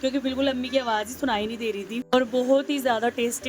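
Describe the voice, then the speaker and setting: Over noticeable background noise, a woman talks at a high pitch with fairly even intonation. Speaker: vlogger. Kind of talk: vlog voice-over. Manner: slow.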